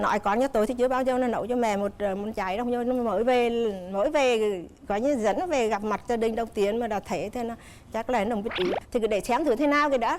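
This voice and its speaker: There is noticeable background noise behind a woman with a fairly high pitch. She talks at a very fast pace, with ordinary pitch variation. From Nghệ An, north-central Vietnam. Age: 60s. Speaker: mother-in-law on TV talk show. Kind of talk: TV talk show interview.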